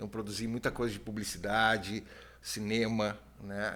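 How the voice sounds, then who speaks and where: At a moderate pace, a man talks at a medium pitch. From southern Brazil (Rio Grande do Sul). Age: 50s. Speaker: TV producer and ufologist. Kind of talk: podcast interview.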